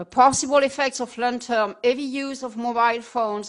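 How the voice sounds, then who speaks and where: A woman with a French accent, high-pitched, at a moderate pace against a quiet background. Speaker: epidemiologist. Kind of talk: lecture.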